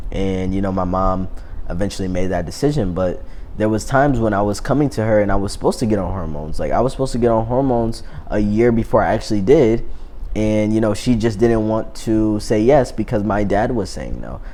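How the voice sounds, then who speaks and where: Fairly quick delivery with ordinary pitch variation and audible room echo. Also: man, fairly low pitch for a man. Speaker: YouTuber. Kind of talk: vlog monologue. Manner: casual, many fillers.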